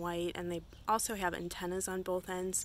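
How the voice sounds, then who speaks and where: The sound is dry with no echo, with light background noise and a fairly slow pace. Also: woman. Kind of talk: casual vlog chat. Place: garden. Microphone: phone near.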